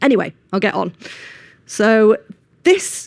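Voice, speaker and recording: This woman's pitch sits fairly high. Her intonation is lively. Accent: Manchester. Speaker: engineering manager, conference speaker. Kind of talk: conference talk. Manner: hesitant with frequent ums.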